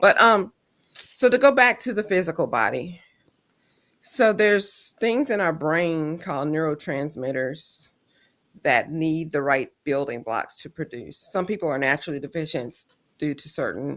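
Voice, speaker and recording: Against a quiet background, a woman with a Southern US accent and a very deep, low pitch speaks at a moderate pace with very wide pitch swings and big swings in loudness. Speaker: health coach and clinician, show host. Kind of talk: casual livestream chat. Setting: live video stream.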